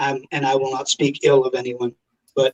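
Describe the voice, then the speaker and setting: At a moderate pace, a man talks in a fairly high pitch, the sound dry and close with no echo. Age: 60s. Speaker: pastor and demonologist. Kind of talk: casual interview.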